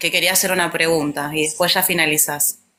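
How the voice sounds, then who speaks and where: The woman's voice has a bright, sharp tone. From Argentina. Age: 40s. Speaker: livestream co-host. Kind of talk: casual chat.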